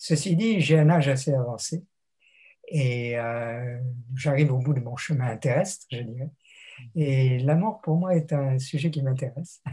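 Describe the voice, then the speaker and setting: A man talks at a fairly slow pace with long, frequent pauses, his voice somewhat breathy and fairly high in pitch. His tone is dark and mellow, and his pitch varies in an ordinary way. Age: 80s+. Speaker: theologian and retired lecturer. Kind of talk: interview. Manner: reflective, with hesitations.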